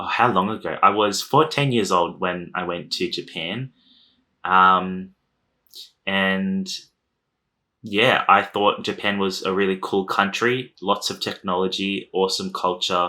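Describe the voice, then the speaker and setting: A man's bright, sharp voice in an Australian accent, with fairly even intonation at a fairly slow pace, on a very clean recording with a silent background. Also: fairly low pitch for a man. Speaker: podcast host and English teacher. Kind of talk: casual chat.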